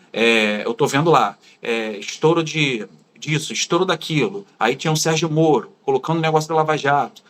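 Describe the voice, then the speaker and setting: A man with a Carioca accent, fairly high pitch and lively intonation, on a very clean recording with a silent background. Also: moderate pace. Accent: carioca accent, clear. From Brazil, Rio de Janeiro. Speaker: former far-right supporter turned critic. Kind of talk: interview.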